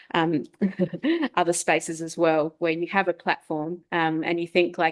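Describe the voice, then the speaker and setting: A woman's fairly low voice at a moderate pace, dry and close with no echo, against a quiet background. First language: not English. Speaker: event moderator, academic. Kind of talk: panel conversation.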